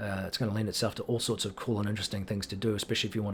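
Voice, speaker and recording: A man with a New Zealand accent talks in a fairly low pitch, somewhat breathy. His intonation is monotone and flat. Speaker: gaming YouTuber. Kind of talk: casual commentary video update. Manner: hesitant, many fillers.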